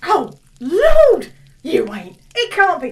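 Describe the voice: A put-on character voice moves at a slow pace with very wide pitch swings. Audible room echo surrounds it. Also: woman, extremely high pitch for a woman.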